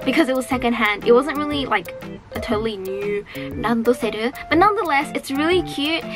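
Over noticeable background noise, a woman talks at a fairly quick pace in a high voice with lively intonation. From Australia. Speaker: voice actress. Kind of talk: casual talk to camera. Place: home room.

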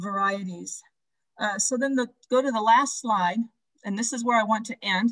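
A woman with an American accent speaks in a plain, everyday voice at a moderate pace, her fairly high pitch moving with ordinary variation over a quiet background. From Nebraska. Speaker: seed preservation project founder, college instructor. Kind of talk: webinar presentation. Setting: video call. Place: home room. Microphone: video call.

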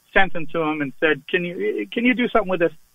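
With an American accent, a man speaks at a high pitch with ordinary pitch variation. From Massachusetts. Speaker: blues singer. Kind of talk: casual radio interview.

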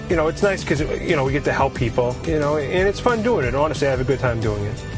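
With an American accent, a man talks at a very fast pace and fairly high pitch with lively intonation and hardly any pauses, over clear background music in a dry sound with no echo. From Boston area. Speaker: licensed plumber. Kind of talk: casual talk to camera. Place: street. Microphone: lapel.

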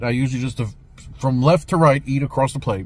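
Recorded with a dry sound and no echo, a man with an American accent speaks at a fairly high pitch, somewhat breathy. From US South. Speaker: restaurant reviewer. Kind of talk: video review. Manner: animated. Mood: pleased, relaxed. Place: car. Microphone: phone near.

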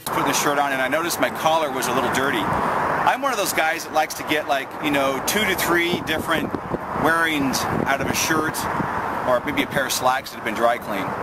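Loud background noise sits under a man speaking at a fairly quick pace, the sound dry with no echo. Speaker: military veteran. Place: open country.

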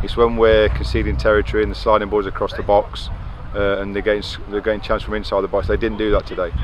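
Against clear background noise, a man with a fairly low pitch speaks fast with little pitch movement.

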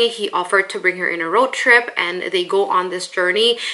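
Noticeable background noise sits behind the speaker. A woman talks at medium pitch and a moderate pace. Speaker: book reviewer. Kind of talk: casual talk to camera.

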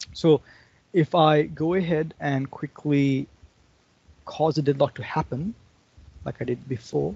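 Somewhat breathy, a man speaks at a fairly slow pace with ordinary pitch variation and long, frequent pauses. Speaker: conference speaker. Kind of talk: technical presentation with live demo. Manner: halting, many fillers.

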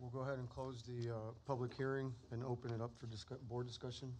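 A man's somewhat breathy voice comes through over light background noise. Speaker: board chairman. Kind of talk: public meeting procedure. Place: hall. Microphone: podium.

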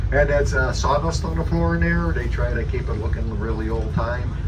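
A man at a fairly quick pace amid loud background noise. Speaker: bus driver tour guide. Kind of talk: tour guide commentary. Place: bus.

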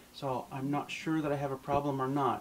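There is light noise in the background. Over it, a man speaks at a moderate tempo. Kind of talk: tutorial. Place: home room.

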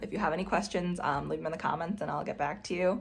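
A woman's fairly low-pitched, somewhat breathy voice. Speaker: mom product reviewer. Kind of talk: product review tutorial. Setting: home nursery. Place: home room. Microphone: phone near.

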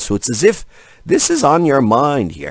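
An animated man at a moderate pace, in a dry sound with no echo. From Egypt. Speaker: tarot reader. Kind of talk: tarot reading monologue to camera. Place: home room. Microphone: studio mic.

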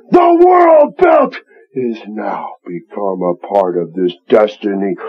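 This man uses a put-on character voice that sounds raspy. He talks at a fairly slow pace. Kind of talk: wrestling promo. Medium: stage. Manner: intense, dramatic, menacing.

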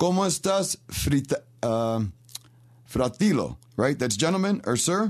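With a New York accent, a man speaks at a fairly high pitch with very wide pitch swings, very even loudness, a fairly slow pace and long, frequent pauses. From Rochester, New York. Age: 50s. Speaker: radio host. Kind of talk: radio talk show. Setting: studio.

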